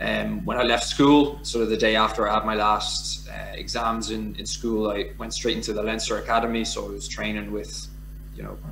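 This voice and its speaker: A man with a Dublin accent at a fairly quick pace, with audible room echo and noticeable background noise. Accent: Irish (Dublin). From Ireland, Dublin. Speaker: former professional rugby player. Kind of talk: casual interview.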